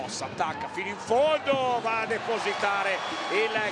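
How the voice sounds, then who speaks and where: Over noticeable background noise, a man talks at a moderate pace in an animated tone, his pitch high. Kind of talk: live basketball commentary. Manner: excitable, animated.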